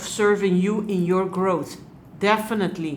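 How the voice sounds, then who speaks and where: This woman has a non-native accent. She speaks at a fairly slow pace. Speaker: hypno-regression therapist and life coach. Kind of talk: tarot reading to camera. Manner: hesitant, frequent pauses and fillers.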